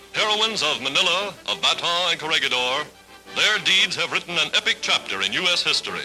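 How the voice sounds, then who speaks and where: Against music in the background, a man speaks at a fairly quick pace in a high pitch with ordinary pitch variation. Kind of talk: vintage newsreel narration.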